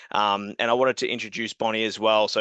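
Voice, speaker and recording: Against a quiet background with a dry, close sound and no echo, a man talks very fast in a fairly low pitch with a bright, sharp tone. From Australia. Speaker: software company co-founder. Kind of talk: webinar product presentation.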